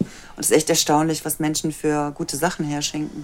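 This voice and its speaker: A woman speaks at a fairly quick pace in a very deep, low voice, with noticeable background noise. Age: 50s. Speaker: cuddle therapist in training. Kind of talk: interview testimony.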